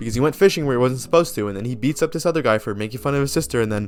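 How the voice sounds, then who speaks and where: Music is heard in the background. The man's pitch variation is ordinary. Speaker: movie reviewer. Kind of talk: casual video review monologue. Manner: hesitant, many fillers and repetitions.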